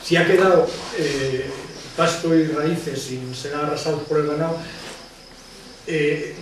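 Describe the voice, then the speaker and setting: Amid noticeable background noise and audible room echo, a man speaks at a moderate pace in a fairly high, monotone, flat voice. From Extremadura, Spain (Sierra de Gata, Cáceres). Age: 60s. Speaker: naturalist and former politician. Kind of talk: lecture. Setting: conference talk to live audience.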